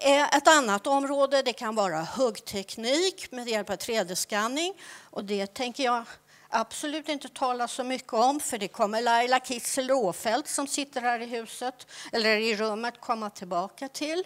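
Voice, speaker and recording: The woman's pitch is high, with ordinary pitch variation. She talks at a fairly slow pace. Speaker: archaeology researcher and lecturer; lecturer. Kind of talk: conference presentation. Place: hall. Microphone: handheld.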